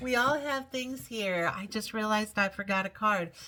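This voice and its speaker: The voice belongs to a woman with a bright, sharp tone. She speaks at a moderate pace. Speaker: tarot reader. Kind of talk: tarot reading video. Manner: occasional stutter; casual, chatty.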